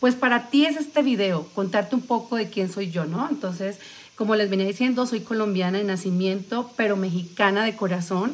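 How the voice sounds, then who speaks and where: Moderate pace and ordinary pitch variation. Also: woman. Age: 40s. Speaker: vlogger. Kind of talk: livestream casual chat. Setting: live stream. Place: home room. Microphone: phone near.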